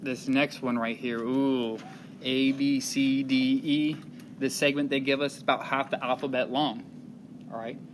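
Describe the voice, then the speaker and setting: At a moderate pace, a man talks in a monotone, flat intonation at a medium pitch. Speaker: math teacher. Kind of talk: lesson walkthrough. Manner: stumbling, self-correcting; casual, conversational.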